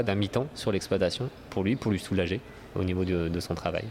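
A man talks at a very fast pace in a fairly low voice, with ordinary pitch variation. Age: 30s. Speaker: dairy supplier relations manager. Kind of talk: interview. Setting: agricultural trade fair on a farm. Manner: hesitant, many fillers.

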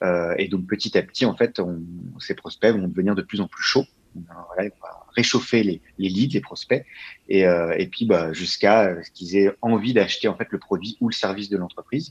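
At a moderate pace, a man with a fairly low pitch and ordinary pitch variation is heard in a dry, close sound with no echo. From France, Val-d'Oise near Paris. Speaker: growth marketing specialist. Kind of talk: interview. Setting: remote recording from home. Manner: hesitant, many fillers.

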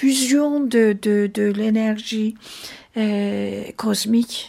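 Speaking very slowly, a woman with a fairly high pitch and ordinary pitch variation comes through on a very clean recording with a silent background. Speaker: jazz singer. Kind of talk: interview. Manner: halting.

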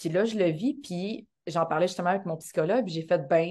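Against a quiet background, a woman speaks at a fairly quick pace in a fairly low pitch, her tone dark and mellow and her pitch variation ordinary. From Quebec, Montreal area, Haitian background. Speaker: actress and dancer. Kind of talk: casual interview chat.

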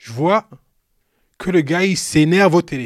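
A man speaks in an animated tone, his high pitch carried by lively intonation. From Cameroon. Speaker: retired pro basketball player, youth mentor. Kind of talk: storytelling interview. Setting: live recording with his son present.

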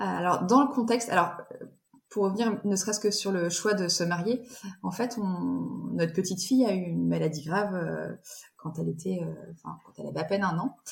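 Her loudness rises and falls in big swings. The woman keeps a moderate pace. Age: 40s. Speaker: bride sharing her wedding dress story. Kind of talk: interview. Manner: halting.

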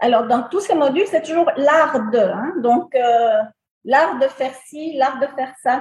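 A woman's high-pitched voice at a very slow pace, with ordinary pitch variation. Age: 60s. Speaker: beautician, salon owner. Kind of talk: interview testimony.

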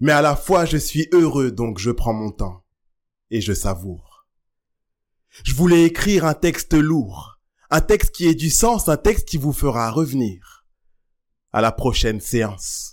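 A man with fairly high pitch speaks at a very slow pace, with long, frequent pauses and very wide pitch swings. The recording is very clean with a silent background. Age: 30s. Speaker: slam poet. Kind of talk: slam performance; interview.

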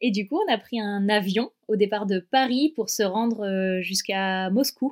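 A plain, everyday voice from a woman, medium in pitch and fairly slow, with ordinary pitch variation and a dry, close sound with no echo. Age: 30s. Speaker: dog travel adventurer. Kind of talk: interview, personal travel story.

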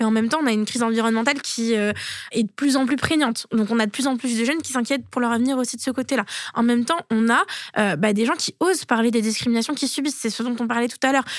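Very fast speech from a woman, ordinary in its pitch variation. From France, Toulouse. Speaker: former student union president. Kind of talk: interview.

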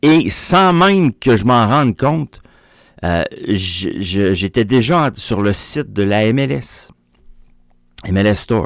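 Using very wide pitch swings around a medium pitch, a man speaks at a very slow pace with long, frequent pauses. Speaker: soccer radio host. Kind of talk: daily sports radio show. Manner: casual, hesitant with fillers.

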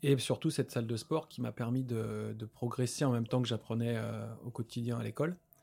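A man's medium-pitched voice with a dark, mellow tone, fairly even intonation and a fairly quick pace. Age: 30s. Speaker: osteopath. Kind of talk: casual chat. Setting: gym.

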